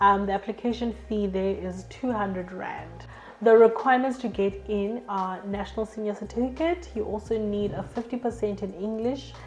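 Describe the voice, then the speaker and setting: At a moderate pace and with hardly any pauses, a woman talks over music in the background. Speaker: education YouTuber. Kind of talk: informational talk to camera.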